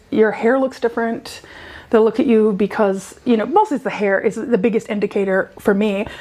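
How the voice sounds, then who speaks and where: A woman with an American accent, fairly high in pitch, at a moderate pace with ordinary pitch variation, amid noticeable background noise. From USA. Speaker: PhD researcher. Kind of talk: casual chat.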